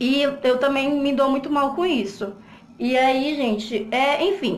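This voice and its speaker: Speaking at a high pitch and fairly slow pace, a woman is heard. The recording has audible room echo and noticeable background noise. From Brazilian Northeast. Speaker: vlogger. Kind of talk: personal testimony vlog. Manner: breathless.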